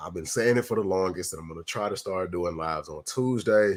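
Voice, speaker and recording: A man speaks with a very deep, low pitch and ordinary pitch variation. The recording is very clean, with a silent background. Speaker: sneaker YouTuber. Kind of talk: livestream chat with viewers. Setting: live stream. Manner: casual, relaxed.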